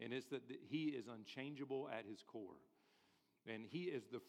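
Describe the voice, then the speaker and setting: With a normal speaking voice, a man talks at a moderate pace and uses ordinary pitch variation. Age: 40s. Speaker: pastor. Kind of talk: sermon.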